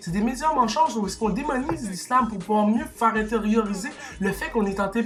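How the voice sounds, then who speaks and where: A man talks at a fairly quick pace in a high pitch, with an animated tone and ordinary pitch variation. Noticeable background noise and audible room echo are present. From Quebec. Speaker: YouTuber commentator. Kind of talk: opinion rant to camera. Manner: animated, heated; halting, repeats words.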